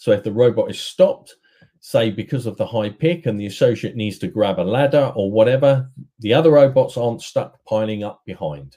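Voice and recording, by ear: A man talks at a medium pitch in a dark, mellow tone. His pace is moderate.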